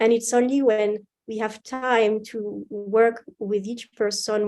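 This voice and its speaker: A woman speaks in a French accent at a medium pitch, with a dark, mellow tone. Her intonation is monotone and flat. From France. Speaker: university instructor. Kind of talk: interview.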